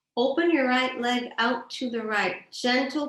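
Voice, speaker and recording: A woman at a fairly slow pace, with ordinary pitch variation and audible room echo. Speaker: yoga instructor. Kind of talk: guided yoga class. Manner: calm.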